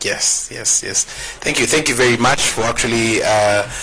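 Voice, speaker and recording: Monotone, flat intonation from a man at a medium pitch and a moderate pace, with noticeable background noise. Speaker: farming show host. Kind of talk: talk show interview.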